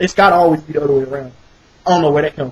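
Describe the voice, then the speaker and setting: Recorded dry and close with no echo, a man speaks with a slight Southern accent. Noticeable background noise runs behind him. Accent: slight southern twang. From US South, rural North Carolina. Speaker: vlogger. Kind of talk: casual monologue. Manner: animated.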